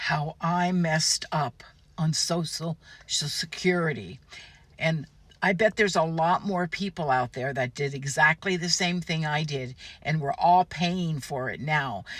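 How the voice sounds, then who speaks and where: A woman with an American accent, a very deep, low pitch, a somewhat breathy sound and a fairly slow pace. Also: ordinary pitch variation. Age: 70s. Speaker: social media poster giving advice. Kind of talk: casual monologue, advice video.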